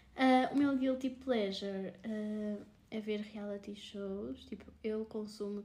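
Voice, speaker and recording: Fairly even intonation in a normal speaking voice. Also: woman. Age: 20s. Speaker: podcast co-host, marketing graduate. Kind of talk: casual chat.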